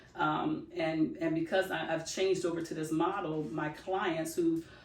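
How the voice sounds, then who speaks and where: A woman's fairly low, monotone voice with flat intonation, in audible room echo. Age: 60s. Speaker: loctician and podcast co-host. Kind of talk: casual podcast chat. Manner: halting, many fillers.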